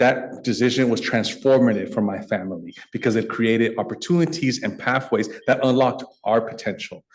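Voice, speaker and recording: A man talks at a fairly quick pace with hardly any pauses. His pitch is medium, with ordinary variation. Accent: Californian. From US West Coast, San Francisco Bay Area. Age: 40s. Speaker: nonprofit executive, guest speaker. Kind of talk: speech to a club luncheon. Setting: stage with audience, club meeting.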